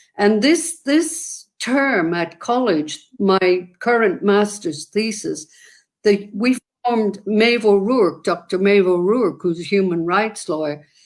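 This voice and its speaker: A woman with an Irish accent speaks very slowly in a medium pitch with lively intonation. The recording is very clean, with a silent background. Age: 70s. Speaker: activist. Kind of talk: interview conversation.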